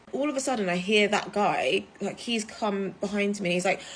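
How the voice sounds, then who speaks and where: A woman with a British accent and fairly high pitch speaks at a moderate pace in an animated tone with lively intonation. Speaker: travel content creator. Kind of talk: casual storytime vlog.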